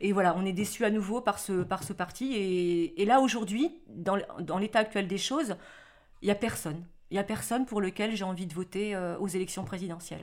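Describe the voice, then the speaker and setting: On a very clean recording with a silent background, a woman with a plain, everyday voice speaks at a moderate pace and medium pitch with ordinary pitch variation. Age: 40s. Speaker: mother of interviewee. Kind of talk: documentary interview.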